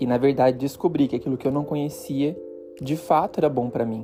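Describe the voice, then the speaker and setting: Background music under a man's voice of medium pitch. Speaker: podcast host. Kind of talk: reflective personal podcast monologue.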